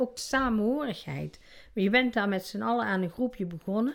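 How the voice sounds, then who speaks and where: A woman speaks in a normal speaking voice. Her intonation is lively. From Netherlands, North Brabant. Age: 60s. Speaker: interviewee with obesity. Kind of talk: casual interview. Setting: at home.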